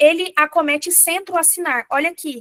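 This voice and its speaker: Her bright, sharp tone comes through as a woman speaks in a raised, projected voice, the sound dry and close with no echo. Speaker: physician teaching exam prep. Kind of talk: lecture.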